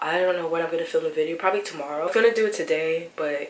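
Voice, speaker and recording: Quiet and fairly low in pitch, a woman talks at a very fast pace with fairly even intonation over noticeable background noise. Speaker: lifestyle vlogger. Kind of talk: casual vlog. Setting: at home.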